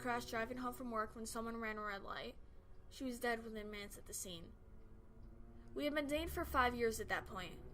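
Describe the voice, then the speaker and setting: A fairly quick, high-pitched female voice with ordinary pitch variation. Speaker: creepypasta narrator. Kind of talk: horror story narration.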